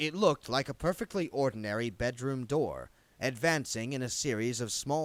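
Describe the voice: The reading aloud is plain, with ordinary pitch variation.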